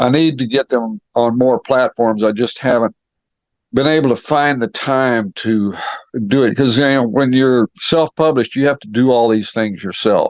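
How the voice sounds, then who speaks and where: The speech comes at a fairly slow pace with ordinary pitch variation, in a dry, close sound with no echo. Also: man. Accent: West Texas. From West Texas. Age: 70s. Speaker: author, retired law enforcement officer. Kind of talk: interview. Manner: halting, many fillers.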